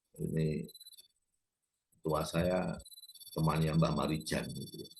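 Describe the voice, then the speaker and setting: Spoken at a very slow pace, this voice carries audible room echo. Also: man. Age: 70s. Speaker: YouTube lecturer on culture and politics. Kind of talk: informal lecture. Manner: halting, with fillers.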